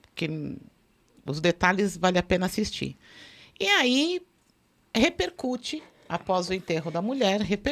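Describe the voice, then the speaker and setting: Leaving long, frequent pauses, a woman talks at a fairly slow pace with lively intonation. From Brazil. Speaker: forensic expert. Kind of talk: casual chat. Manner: talkative. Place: studio. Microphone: studio mic.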